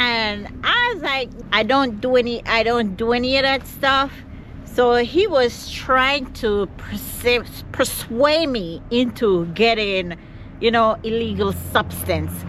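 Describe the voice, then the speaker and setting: Very slow speech with a Caribbean accent, ordinary pitch variation and noticeable background noise. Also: woman, fairly high pitch for a woman. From Jamaica. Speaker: vlogger. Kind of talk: vlog to camera.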